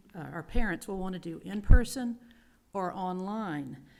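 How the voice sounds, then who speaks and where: A woman talks at a moderate pace with an unremarkable speaking voice. Her pitch sits in the medium range. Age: 60s. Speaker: middle school teacher, public commenter. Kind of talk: public comment at school board meeting.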